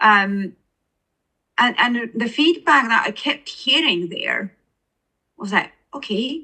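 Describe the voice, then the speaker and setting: Speaking very slowly, a woman with a fairly high pitch uses lively intonation and a bright, sharp tone. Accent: Estonian. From Estonia. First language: Estonian. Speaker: author and poet. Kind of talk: interview.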